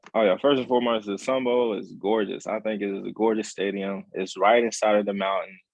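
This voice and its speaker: A man with an American accent talks at a fairly quick pace with hardly any pauses, using a fairly low pitch and fairly even intonation. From Texas. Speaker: college football player. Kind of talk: interview. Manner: halting, many repetitions.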